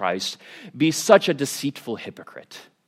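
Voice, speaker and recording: A man with a General American accent at a medium pitch and moderate pace, with very wide pitch swings. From United States. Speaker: preacher. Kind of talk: sermon. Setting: church. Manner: casual, hesitant.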